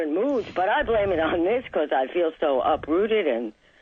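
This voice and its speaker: The pace of speech is moderate. Noticeable noise sits in the background. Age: 60s. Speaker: caller. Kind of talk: phone-in consultation. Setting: phone call.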